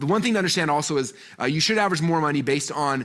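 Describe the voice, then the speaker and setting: The delivery is very fast, with lively intonation and an animated tone. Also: man. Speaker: marketing speaker. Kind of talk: presentation to live online audience. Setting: live-streamed event.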